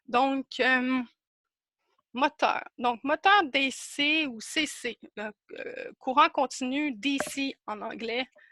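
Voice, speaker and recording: A woman speaks at a very slow pace with a high pitch and ordinary pitch variation in a bright, sharp tone. Her raised, projected voice has big swings in loudness, with a dry, close sound and no echo. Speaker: workshop presenter, instrument maker. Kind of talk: online workshop presentation. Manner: animated, halting.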